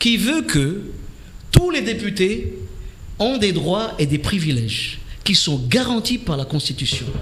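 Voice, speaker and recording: Amid noticeable background noise and audible room echo, a man with a Comorian accent speaks at a fairly slow pace in a high pitch, with very wide pitch swings. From Comoros. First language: Comorian (speaking French). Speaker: politician, member of parliament. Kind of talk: radio political debate interview. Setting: radio studio. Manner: hesitant, with frequent fillers.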